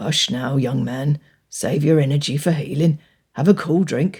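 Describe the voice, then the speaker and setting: A woman's put-on character voice, raspy and very deep and low in pitch, at a moderate pace. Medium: read story. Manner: warm, wry.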